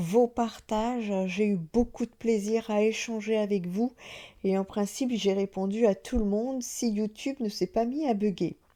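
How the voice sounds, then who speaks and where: Soft-spoken woman with a fairly high pitch, dark and mellow tone, fairly even intonation and a fairly slow pace. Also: very clean recording, silent background. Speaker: medium and spiritual channel host. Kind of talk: casual vlog talk to viewers. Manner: hesitant, many filler sounds.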